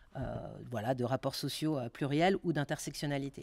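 This is a woman speaking. The background is quiet. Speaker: sociologist researcher; speaker. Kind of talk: lecture and Q&A discussion. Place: meeting room. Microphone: podium.

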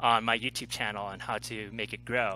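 A man's bright, sharp voice with vocal fry, a moderate pace, and a dry sound with no echo. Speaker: interview guest, life coach. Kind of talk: interview answer. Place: home room. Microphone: headset.

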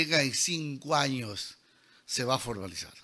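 A man talks in a bright, sharp, animated tone with ordinary pitch variation. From Peruvian Amazon (San Martín, Lamas). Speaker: engineer and lecturer. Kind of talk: lecture. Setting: auditorium with audience.

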